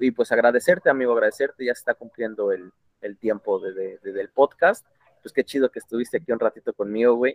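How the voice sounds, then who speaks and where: Talking at a very fast pace, a man's loudness swings widely in a dry, close recording with no echo. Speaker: podcast host. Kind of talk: casual interview. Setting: call.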